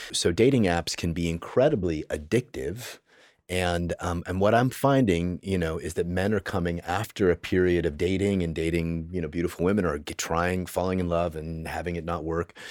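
At a very deep, low pitch, a man talks at a moderate pace with hardly any pauses on a very clean recording with a silent background. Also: ordinary pitch variation. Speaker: men's group facilitator and intimacy teacher. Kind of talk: podcast interview. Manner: calm, relaxing delivery.

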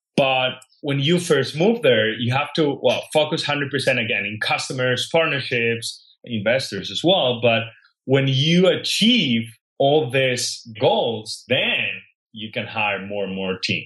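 With a Spanish accent, a man of medium pitch speaks at a fairly slow pace with lively intonation. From Spain (Catalonia). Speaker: health tech startup founder. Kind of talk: interview.

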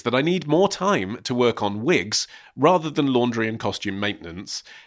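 With lively intonation, the passage is delivered as plain reading aloud.

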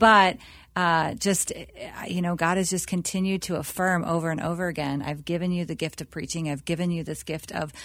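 Recorded very cleanly against a silent background, a woman has an ordinary speaking voice and a fairly low pitch. She moves at a moderate pace with fairly even intonation. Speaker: pastor. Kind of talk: interview.

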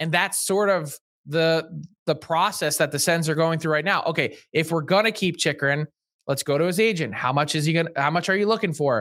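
With an unremarkable speaking voice, a man talks at a fairly quick pace and fairly high pitch, his loudness very even and his pitch varying in an ordinary way. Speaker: hockey insider journalist. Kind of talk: casual chat.

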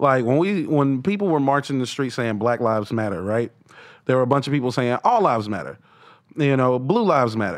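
Over a quiet background, a man with an American accent uses an ordinary speaking voice at medium pitch with lively intonation. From North Carolina. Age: 30s. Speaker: comedian. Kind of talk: casual chat.

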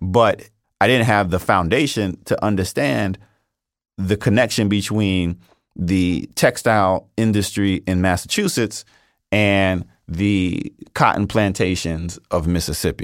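This man has an unremarkable speaking voice, fairly low in pitch with ordinary pitch variation, and an American accent. He speaks at a fairly slow pace in a very clean recording with a silent background. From New York City, Brooklyn. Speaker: history professor. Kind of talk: interview.

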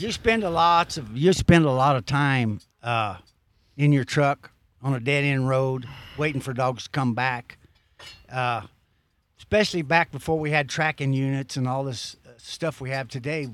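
An ordinary speaking voice from a man, medium in pitch, with ordinary pitch variation. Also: moderate pace. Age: 60s. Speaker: veteran bear hunter with hounds. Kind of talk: casual storytelling chat. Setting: outdoors at a campsite.

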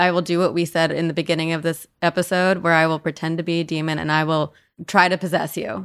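Speaking at a very fast pace in an American accent, the voice has monotone, flat intonation in a very clean recording with a silent background. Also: woman, fairly low pitch for a woman. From US Northeast (New Jersey). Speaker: paranormal podcast host. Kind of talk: casual chat.

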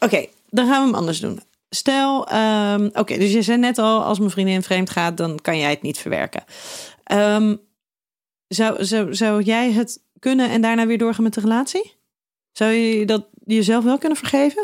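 Here is a woman with an ordinary speaking voice, fairly high in pitch, with ordinary pitch variation and a moderate pace. The recording is very clean, with a silent background. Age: 30s. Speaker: podcast host and relationship therapist. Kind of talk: interview.

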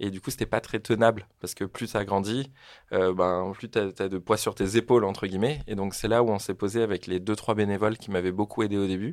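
In a very clean recording with a silent background, a man speaks at a fairly quick pace. His pitch is fairly low and his intonation fairly even. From French Polynesia (Tahiti). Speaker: social entrepreneur. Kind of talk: interview. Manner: casual, hesitant with fillers.

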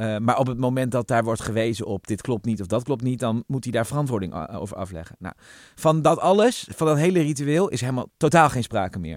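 Lively intonation and a fairly quick pace mark this man's medium-pitched speech in a plain, everyday voice. The recording is very clean, with a silent background. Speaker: podcast host, journalist. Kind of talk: casual chat.

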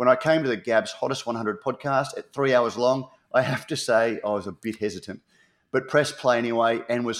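Talking at a fairly quick pace, a man with an Australian accent uses a medium pitch and ordinary pitch variation. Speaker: podcast co-host. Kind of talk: casual chat. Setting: online call recording.

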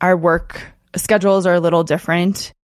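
A woman with an American accent and a medium pitch has an unremarkable speaking voice. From Colorado, US. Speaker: author and podcaster. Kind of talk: interview.

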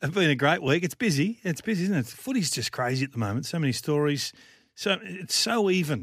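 Over a silent background on a very clean recording, a man with an Australian accent speaks very fast in a fairly high pitch with lively intonation. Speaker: football pundit. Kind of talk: sports preview chat. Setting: radio studio.

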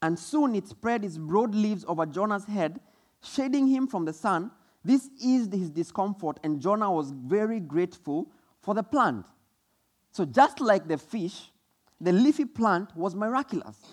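With a Kenyan accent, this speaker moves at a moderate pace through very wide pitch swings. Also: man, high pitch for a man. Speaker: preacher. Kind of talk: sermon. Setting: church.

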